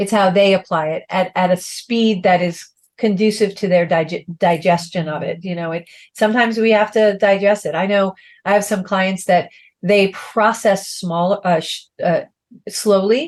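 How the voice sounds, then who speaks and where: The delivery is in a normal speaking voice at a moderate pace. Intonation stays fairly even. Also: woman, medium pitch for a woman. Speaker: life coach. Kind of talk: casual chat.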